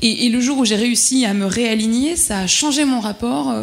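A woman speaks with a fairly high pitch and lively intonation. Noticeable background noise runs behind her. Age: 30s. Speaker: corporate employee. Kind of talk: panel discussion. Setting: dinner debate with audience. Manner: halting.

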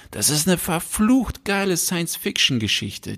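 At a fairly slow pace, a man speaks in an animated tone with lively intonation. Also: dry, close sound with no echo. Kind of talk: casual chat. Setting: home recording, sitting close together. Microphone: very close to the mic.

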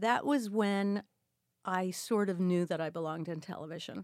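A woman's plain, everyday voice with an American accent and ordinary pitch variation at a moderate pace, dry and close with no echo on a very clean recording with a silent background. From Queens, New York. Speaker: actress and singer. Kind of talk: interview.

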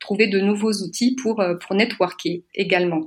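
A woman with a plain, everyday voice speaks at a fairly slow pace and medium pitch. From France. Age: 40s. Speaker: association president and career coach. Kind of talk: podcast interview.

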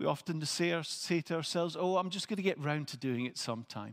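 A man speaks with a Scottish accent. His voice sits high in pitch. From Scotland. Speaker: preacher. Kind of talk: sermon. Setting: church.

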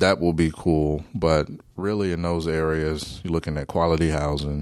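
An American-accented man speaks at a moderate pace. His very deep, low voice has monotone, flat intonation. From Wichita, Kansas. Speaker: city council member. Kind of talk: casual interview. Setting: studio.

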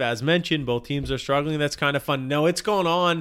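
Speaking at a fairly quick clip, a man has a plain, everyday voice and his pitch varies in an ordinary way. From Canada. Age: 40s. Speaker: sports podcast co-host. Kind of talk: casual chat.

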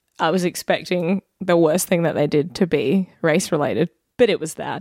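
This woman speaks with an Australian accent at a moderate pace. Her pitch is fairly low, with ordinary variation. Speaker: podcast co-host. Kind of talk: casual chat.

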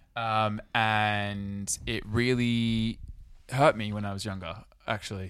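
A man speaks very slowly in an Australian accent. His intonation stays monotone and flat. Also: fairly low pitch for a man. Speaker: podcast co-host. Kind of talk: casual chat.

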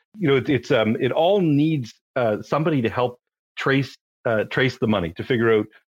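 A man with a Canadian accent and a normal speaking voice, at a fairly quick pace with lively intonation. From Canada. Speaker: compliance founder, forensic accountant. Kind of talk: casual interview chat. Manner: conversational, with fillers.

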